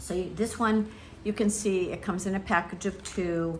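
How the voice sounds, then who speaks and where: A woman is talking. Her voice comes with audible room echo. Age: 70s. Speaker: travel vlogger. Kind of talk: tutorial. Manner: casual, hesitant with many fillers.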